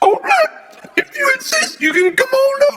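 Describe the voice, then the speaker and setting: This is a put-on character voice pitched extremely high. It moves at a moderate pace. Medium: comedy sketch. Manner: excitable, shouting.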